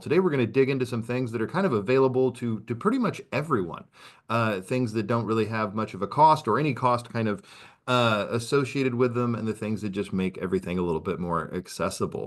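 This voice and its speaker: Talking very fast, a man is heard against a quiet background. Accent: American. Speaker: assistive technology presenter. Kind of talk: webinar presentation.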